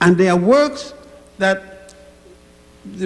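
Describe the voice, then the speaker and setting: Noticeable background noise and audible room echo accompany a man speaking at a high pitch and a very slow pace. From Virgin Islands / Puerto Rico. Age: 80s+. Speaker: elderly audience member, scholar. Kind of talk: impromptu address. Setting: church with audience. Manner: halting.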